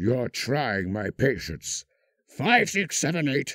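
Vocal fry runs through this man's fairly high-pitched voice. His tone is bright and sharp. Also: dry, close sound with no echo. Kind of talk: scripted villain character performance, quoting film lines. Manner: suave, silky and menacing, dripping with polite sarcasm; theatrical, with lilting posh delivery, sudden snarling outbursts and laughs.

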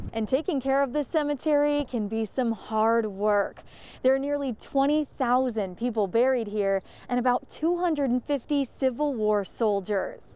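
A woman speaks at a moderate pace in a high pitch with ordinary pitch variation and a dark, mellow tone. The sound is dry with no echo, and her loudness stays very even. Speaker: TV news reporter. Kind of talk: TV news report. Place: open country. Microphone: handheld.

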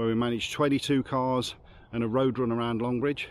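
A man speaks at a fairly quick pace. The sound is dry with no echo. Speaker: car enthusiast vlogger. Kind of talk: casual vlog chat. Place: street. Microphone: phone near.

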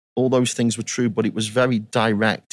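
A man with a Staffordshire accent, flat and monotone, at a fairly quick pace. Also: very clean recording, silent background. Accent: English Midlands (Potteries). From England, Stoke-on-Trent. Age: 50s. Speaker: youth soccer coach educator. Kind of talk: interview.

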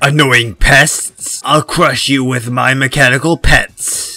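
Using a put-on character voice, a man speaks at a fairly slow pace with a raspy, medium pitch. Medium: dub.

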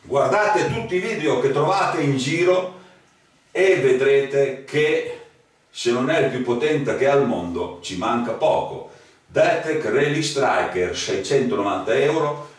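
A man speaks very slowly, and noticeable background noise runs underneath. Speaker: metal detector seller. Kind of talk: sales pitch. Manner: animated.

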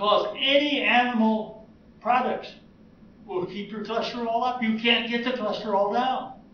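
A man with an American accent talks at a high pitch, with audible room echo and light background noise. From United States. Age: 80s+. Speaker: retired heart surgeon, vegan. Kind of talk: interview answer. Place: hall. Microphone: camera far.

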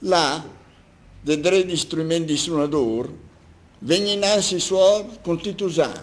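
A man with a high pitch and lively intonation speaks at a fairly slow pace. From Milan. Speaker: doctor, amateur poet. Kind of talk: dialect poetry reading.

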